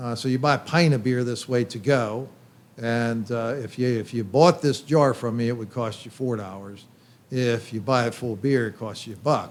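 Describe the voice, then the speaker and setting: Here a man talks with a Pennsylvania accent. He keeps a moderate pace and ordinary pitch variation. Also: medium pitch for a man. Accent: Pennsylvania American English. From Pennsylvania, York. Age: 60s. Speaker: brewery owner. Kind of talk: casual chat. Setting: brew pub.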